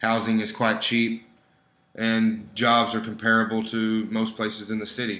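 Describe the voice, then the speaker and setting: Bright and sharp in tone, a man's medium-pitched voice stays monotone and flat. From Texas, Dallas. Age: 20s. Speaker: student presenter. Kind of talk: presentation with slides. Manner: informal, conversational.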